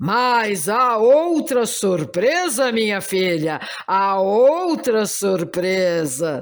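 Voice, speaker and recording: This is a put-on character voice, pompous and theatrical. It is fairly high, very slow, and swings widely in pitch. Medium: read story. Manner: expansive, pompous, theatrical.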